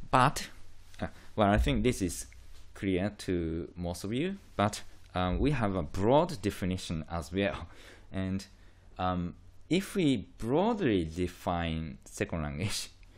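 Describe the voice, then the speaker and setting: The speaker has a Japanese accent and lively intonation. The pace is very slow, with long, frequent pauses. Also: man, very deep, low pitch for a man. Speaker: university lecturer in linguistics. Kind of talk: lecture. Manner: hesitant, many fillers; slow, deliberate.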